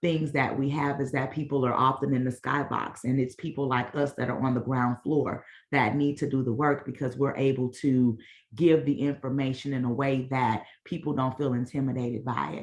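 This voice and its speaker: Her pitch very deep and low, a woman speaks with monotone, flat intonation. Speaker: mental wellness organization founder. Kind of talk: presentation at online meeting. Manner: fast.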